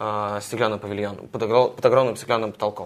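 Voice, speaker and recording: This man's voice is fairly low. Its pitch moves in an ordinary way. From Russia. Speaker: journalist, US correspondent. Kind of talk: interview.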